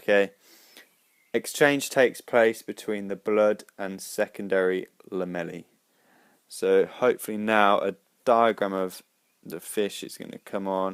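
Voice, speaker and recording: A man with a fairly low pitch talks at a fairly slow pace, leaving long, frequent pauses, his intonation fairly even while his loudness swings widely. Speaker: biology tutorial maker. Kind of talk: tutorial.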